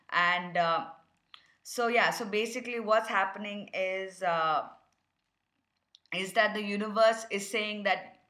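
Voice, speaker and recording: A woman of medium pitch with a bright, sharp tone, fairly even intonation, a fairly slow pace, long, frequent pauses and audible room echo. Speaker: tarot card reader. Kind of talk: tarot reading.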